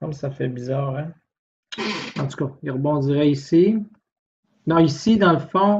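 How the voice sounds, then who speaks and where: A man speaks in a fairly high, somewhat breathy voice with a Quebec accent and ordinary pitch variation. His pace is fairly slow, with long, frequent pauses. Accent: Québécois French. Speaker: physics tutor. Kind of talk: tutorial. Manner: informal, hesitant thinking aloud.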